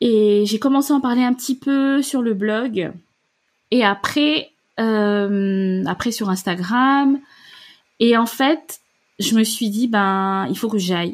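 A woman's somewhat breathy, fairly high voice with ordinary pitch variation. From Gabon. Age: 30s. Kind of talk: interview. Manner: hesitant.

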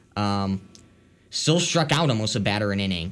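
A man has a plain, everyday voice at medium pitch. He speaks at a moderate pace with ordinary pitch variation. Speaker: college radio co-host. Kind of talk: scripted-sounding radio intro, then laid-back sports chat. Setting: college radio studio. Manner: calmer, measured, conversational, some hedging fillers.

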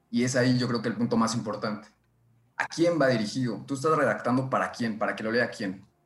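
The delivery is very fast, with ordinary pitch variation. Audible room echo surrounds the voice. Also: man, medium pitch for a man. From central Mexico, State of Mexico. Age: 20s. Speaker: nanotechnology engineer and science blog editor. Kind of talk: casual chat.

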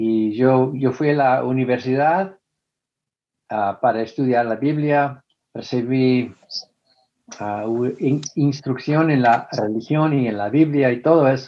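A man at a medium pitch and a very slow pace, with ordinary pitch variation and long, frequent pauses. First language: English (speaking Spanish). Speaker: former preacher, atheist activist. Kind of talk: interview. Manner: halting.

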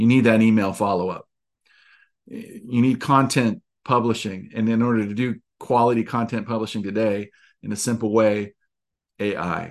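A man of medium pitch at a moderate pace, fairly even in intonation, with long, frequent pauses and a quiet background. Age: 50s. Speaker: network marketing coach and podcast host. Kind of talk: solo podcast monologue. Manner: casual, many fillers and repetitions.

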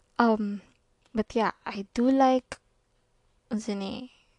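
Very slow, fairly even speech from a woman of medium pitch with a Visayan Filipino accent, dry and close with no echo. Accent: Filipino (Cebuano) English. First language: Cebuano. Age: 20s. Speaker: podcast host. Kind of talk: casual monologue. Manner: halting, self-described stutter; laughs often.

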